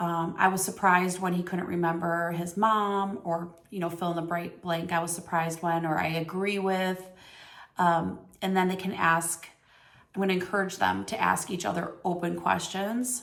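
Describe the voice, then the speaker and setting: In a room with audible echo, a woman speaks at a fairly low pitch with monotone, flat intonation. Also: moderate pace. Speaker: teacher. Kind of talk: reflection on reading aloud. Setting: recorded on camera.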